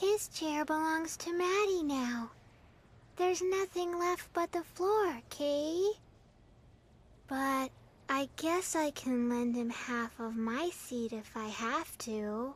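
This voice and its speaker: This is a put-on character voice with a high pitch. It speaks at a very slow pace. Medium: video game.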